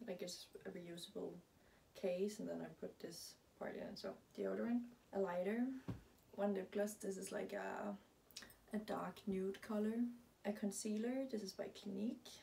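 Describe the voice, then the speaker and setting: Speaking at a fairly slow pace with long, frequent pauses, a woman uses fairly even intonation and a dark, mellow tone with vocal fry, over light background noise. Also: medium pitch for a woman. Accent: Danish. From Denmark. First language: Danish. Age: 20s. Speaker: lifestyle vlogger; vlogger. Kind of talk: casual vlog monologue. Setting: at home in her closet. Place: home room. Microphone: camera far.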